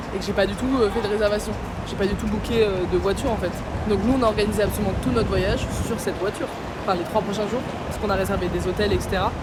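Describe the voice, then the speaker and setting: A woman talks very fast at medium pitch in an animated tone, with audible room echo and noticeable background noise. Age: 20s. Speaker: travel vlogger. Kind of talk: casual vlog storytelling. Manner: animated, fast.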